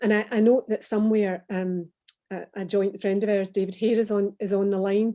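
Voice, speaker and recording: A woman speaks in a Glaswegian accent at medium pitch, her tone dark and mellow. Her delivery is monotone and flat at a moderate pace. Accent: Glaswegian Scottish. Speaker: former business executive. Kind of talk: online panel interview. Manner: hesitant, many fillers and repeats.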